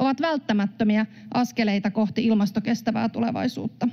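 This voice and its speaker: The background is quiet. A woman talks at a moderate pace. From Finland. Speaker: member of parliament. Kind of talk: parliamentary speech. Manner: formal. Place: hall. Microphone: podium.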